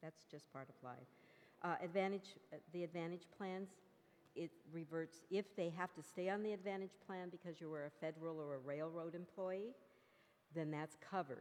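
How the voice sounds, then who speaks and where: A woman speaks at a moderate pace and a fairly low pitch with fairly even intonation. She has an unremarkable speaking voice. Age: 60s. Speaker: hospice nurse. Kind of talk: presentation Q&A.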